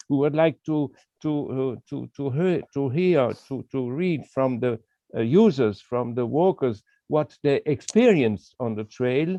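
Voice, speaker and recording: Speaking with a non-native accent, a man uses lively intonation at a fairly high pitch and a fairly slow pace. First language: not English. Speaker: walking trail association representative. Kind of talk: video call interview. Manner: halting, many hesitations.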